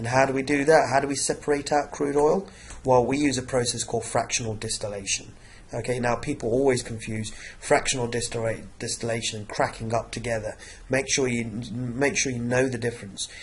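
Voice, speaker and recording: A man talks at a fairly quick pace in a medium pitch, his intonation fairly even and his voice somewhat breathy, with audible room echo. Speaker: science teacher. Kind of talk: revision lecture. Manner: hesitant, many fillers.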